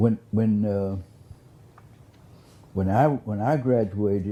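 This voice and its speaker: With a dark, mellow tone and fairly low pitch, a man speaks with ordinary pitch variation. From US South (Beaumont, southeast Texas). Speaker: former county commissioner, oral history interviewee. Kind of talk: oral history interview. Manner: halting, many repetitions and fillers.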